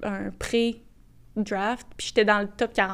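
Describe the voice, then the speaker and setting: A woman with ordinary pitch variation. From Quebec, Boisbriand. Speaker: soccer player. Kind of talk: interview.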